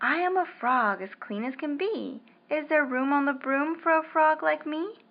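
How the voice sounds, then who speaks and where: A woman's put-on character voice at a high pitch. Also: moderate pace. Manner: polite.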